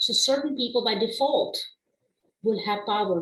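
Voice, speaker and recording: In a non-native accent, a woman speaks at a fairly slow pace. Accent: non-native accent, permanent. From immigrant family, raised partly abroad before Canada. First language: not English (trilingual). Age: 40s. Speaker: diversity consultant and instructor. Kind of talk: webinar lecture. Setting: online webinar.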